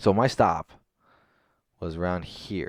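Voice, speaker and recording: A man's voice is heard here. The recording is very clean with a silent background and a dry, close sound with no echo. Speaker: stock trader recapping trades. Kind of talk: screen-share trading recap. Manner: fast; halting, filler-heavy.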